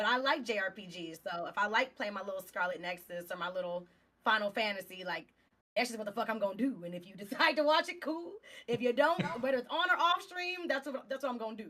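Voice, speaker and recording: A woman with a Texas accent talks very fast at a fairly high pitch. Her pitch swings very widely and her loudness rises and falls sharply. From Southeast Texas. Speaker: game streamer. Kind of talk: casual chat. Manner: articulate.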